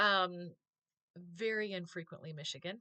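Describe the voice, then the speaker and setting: A woman with an American accent has a normal speaking voice. Her pitch is fairly low, with ordinary variation. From US. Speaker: vlogger, former teacher. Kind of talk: casual vlog monologue.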